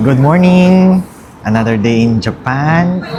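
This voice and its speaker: Lively intonation comes through as a man speaks amid audible room echo and noticeable background noise. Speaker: travel vlogger. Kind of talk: casual vlog narration. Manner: loud.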